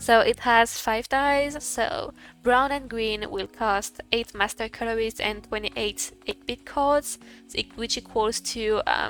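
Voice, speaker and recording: Speaking very slowly, a woman keeps her fairly high-pitched voice at a fairly even intonation. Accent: non-native. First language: not English. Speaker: gaming content creator. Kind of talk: game guide tutorial. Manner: hesitant, many fillers.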